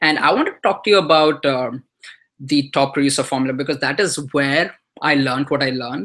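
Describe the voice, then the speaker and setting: Speech comes at a fairly quick pace. The speaker has an Indian accent. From India (earlier childhood in Dubai). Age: 20s. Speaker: online marketer. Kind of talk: webinar presentation. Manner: hesitant, many fillers.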